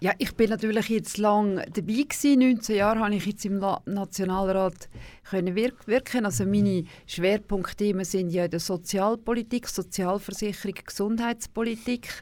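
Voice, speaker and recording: A woman's plain, everyday voice at medium pitch, with fairly even intonation and a fairly slow pace, in a very clean recording with a silent background. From Switzerland, canton Aargau. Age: 60s. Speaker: former national politician. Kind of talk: radio interview. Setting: studio.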